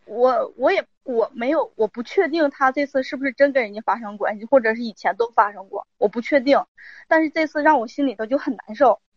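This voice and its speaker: A high-pitched woman with lively intonation and big swings in loudness at a fairly quick pace, dry and close with no echo. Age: 30s. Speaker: caller seeking advice on marriage. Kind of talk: call-in advice conversation. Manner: halting.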